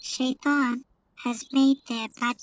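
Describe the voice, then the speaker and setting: A woman with a high voice speaks at a very slow pace in a dry, close sound with no echo. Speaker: voice actor playing the bird Hudhud. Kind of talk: dramatized reading of a character's lines.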